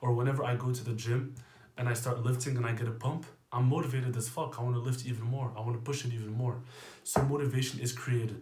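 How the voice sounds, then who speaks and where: Quietly and at a very fast pace, a man speaks in a medium pitch with monotone, flat intonation and audible room echo. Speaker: fitness coach. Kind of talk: casual monologue.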